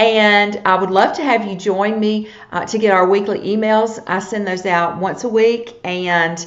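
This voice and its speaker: Noticeable background noise and audible room echo surround a woman with a Southern US accent who speaks fairly slowly at medium pitch, with fairly even intonation and hardly any pauses. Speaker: needlepoint teacher. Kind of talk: live-streamed tutorial. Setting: live video broadcast.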